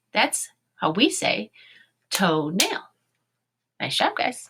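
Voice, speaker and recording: Here a woman with an American accent speaks at a very slow pace. Her tone is bright and sharp. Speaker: elementary school teacher. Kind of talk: online lesson for young children.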